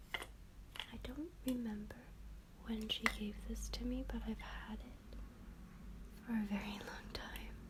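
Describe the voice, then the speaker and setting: A soft-spoken woman talks at a very slow pace with long, frequent pauses, and noticeable background noise runs under her voice. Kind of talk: ASMR soft-spoken show-and-tell about keepsakes.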